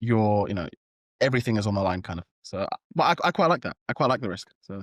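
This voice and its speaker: A British accent from a man of medium pitch at a very fast pace, with lively intonation and a dry, close sound with no echo. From London, England. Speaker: startup founder. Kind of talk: interview. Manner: hesitant, many fillers.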